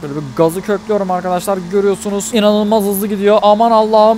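A man's high voice with light background noise and a dry sound with no echo. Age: 20s. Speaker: gaming YouTuber. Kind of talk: gameplay commentary. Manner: animated.

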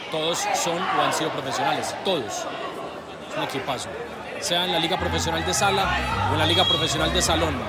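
Over crowd noise in the background, a man talks at a fairly quick pace. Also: dry sound with no echo. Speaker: match commentator filming. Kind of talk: commentary. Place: stadium. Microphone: phone near.

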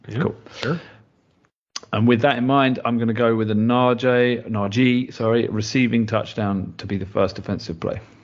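Speaking in a British accent, a man uses a medium pitch. His intonation is fairly even and his pace moderate. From UK. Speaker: podcast co-host, standing in as host. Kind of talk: casual chat.

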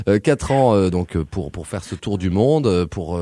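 A man's dark, mellow tone with lively intonation. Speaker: radio host. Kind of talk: radio interview. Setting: phone call.

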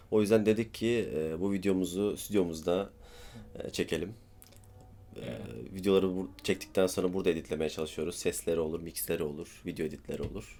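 A man with a very deep, low pitch talks at a fairly quick pace in a dark, mellow tone, showing ordinary pitch variation and vocal fry. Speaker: vlogger. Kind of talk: casual chat. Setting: studio.

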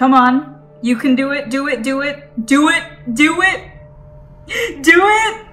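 A woman projects a raised voice with very wide pitch swings. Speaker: reaction video host. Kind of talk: casual reaction commentary. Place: home room. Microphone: earbuds.

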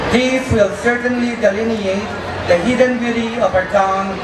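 With crowd noise behind him, a man talks at a moderate pace. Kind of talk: formal welcome speech. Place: street. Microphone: podium.

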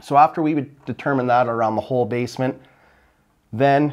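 In a quiet background, a man talks at a fairly quick pace with ordinary pitch variation. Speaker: builder host. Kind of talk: tutorial. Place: empty room. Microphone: lapel.

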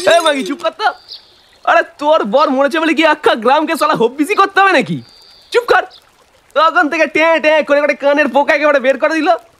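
Cackling in a put-on character voice, a man speaks at a fairly quick pace with an extremely high pitch. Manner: crude, mocking, abusive, cackling.

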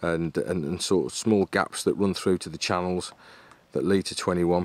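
In an unremarkable speaking voice, a man talks at a moderate pace with fairly even intonation. The sound is dry with no echo. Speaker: carp angler vlogger. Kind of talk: casual vlog chat. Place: waterside. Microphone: phone near.

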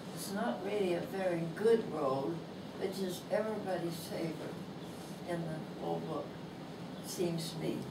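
Loud background noise sits under a woman talking at a moderate pace. She leaves long, frequent pauses. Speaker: author. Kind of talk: reading aloud. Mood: warm, fond. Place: shop.

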